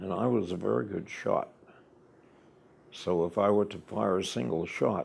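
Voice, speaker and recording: With a very deep, low pitch and vocal fry, a man uses lively intonation broken by long, frequent pauses. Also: moderate pace. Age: 90s. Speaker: war veteran. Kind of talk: oral history interview.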